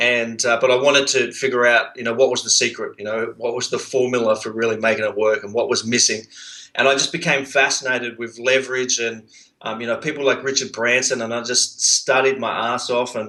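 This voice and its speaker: Speaking in an Australian accent, a man has a medium pitch and a bright, sharp tone. His pace is fairly quick, with fairly even intonation. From Australia, Sydney. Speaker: entrepreneur, outsourcing business owner. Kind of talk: interview. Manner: halting, many fillers.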